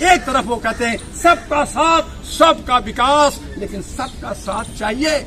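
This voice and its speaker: Against crowd noise in the background, a man with an extremely high pitch and ordinary pitch variation talks with hardly any pauses. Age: 60s. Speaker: political activist and party leader. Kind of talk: political speech. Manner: animated.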